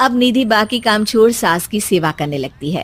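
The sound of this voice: A woman's medium-pitched voice with lively intonation at a moderate pace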